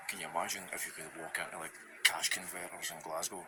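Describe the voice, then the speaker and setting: A man speaks over noticeable background noise. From Scotland. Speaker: vlogger. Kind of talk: casual vlog talk. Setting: in a thrift store. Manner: natural fast speech, not slowed down.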